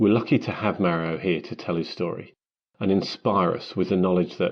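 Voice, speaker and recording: This man's pitch is very deep and low, his intonation fairly even. He talks at a fairly quick pace. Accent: British. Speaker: marketing professional, foreword writer. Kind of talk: reading aloud.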